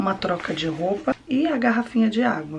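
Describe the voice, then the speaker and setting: A woman at a moderate pace against noticeable background noise. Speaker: vlogger, mother. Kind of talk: family vlog.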